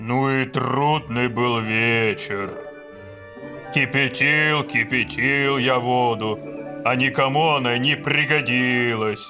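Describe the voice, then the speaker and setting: With clear music in the background, a man uses a put-on character voice at a medium pitch and fairly slow pace. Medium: audio drama. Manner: pompous, commanding.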